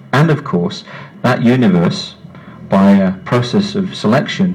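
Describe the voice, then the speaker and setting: A man speaks at a moderate pace with a medium pitch and very wide pitch swings. Noticeable background noise runs behind him. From West Midlands, England. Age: 50s. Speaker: science writer. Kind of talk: public talk. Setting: pub with live audience. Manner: animated.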